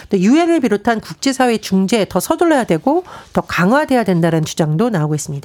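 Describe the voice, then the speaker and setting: A woman speaks very fast at a medium pitch, her volume very even. Her pitch swings very widely, and the sound is dry and close with no echo. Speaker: political commentator. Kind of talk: news briefing. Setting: studio.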